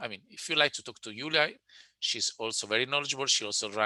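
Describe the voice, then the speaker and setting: A man of medium pitch with an Italian accent and a bright, sharp tone. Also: quiet background. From Italy. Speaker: webinar presenter, digital sales consultant. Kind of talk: webinar presentation and Q&A. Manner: halting with many repetitions.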